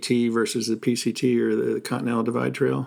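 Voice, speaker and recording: In an American accent, a man speaks at a very fast pace with ordinary pitch variation. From New Jersey. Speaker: podcast host. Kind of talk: interview.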